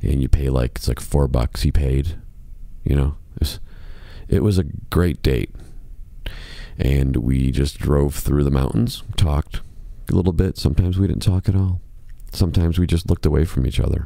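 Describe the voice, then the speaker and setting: A man with an American accent and a very deep, low voice speaks at a moderate pace with long, frequent pauses. Noticeable background noise is present. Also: ordinary pitch variation. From Chicago, US Midwest. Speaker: podcast host, musician. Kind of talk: casual monologue podcast. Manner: softer, lowered volume.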